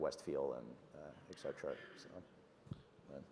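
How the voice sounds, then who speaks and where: A voice in a Russian accent, with audible room echo. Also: man. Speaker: tech startup CEO. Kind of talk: conference fireside chat. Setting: conference stage with audience. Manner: halting, many fillers and restarts.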